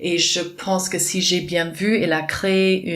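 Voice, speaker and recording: A woman with a non-native accent and a fairly low voice, at a very slow pace, with noticeable background noise. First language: not French (speaking French). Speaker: dance teacher and festival organizer. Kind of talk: interview. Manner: halting, many hesitations.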